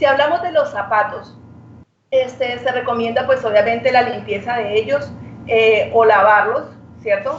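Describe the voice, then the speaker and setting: With noticeable background noise and audible room echo, a woman speaks fairly slowly at a fairly high pitch with ordinary pitch variation. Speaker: medical doctor. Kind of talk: radio interview.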